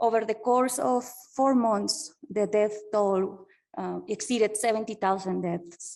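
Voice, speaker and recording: A woman at a fairly slow pace, her fairly high-pitched voice dark and mellow in tone. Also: very clean recording, silent background. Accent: Spanish. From Colombia. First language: Spanish. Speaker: PhD researcher. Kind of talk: conference keynote talk. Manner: halting, many fillers.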